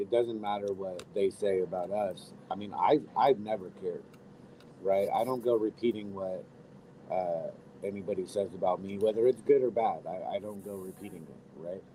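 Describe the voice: A man's low-pitched, dark, mellow voice at a moderate pace with ordinary pitch variation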